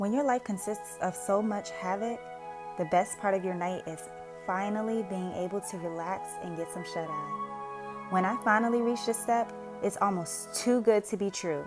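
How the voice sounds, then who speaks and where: A woman keeps to a moderate pace while music sounds behind her. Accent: American. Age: 20s. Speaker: single mother and caregiver. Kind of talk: vlog voice-over narration.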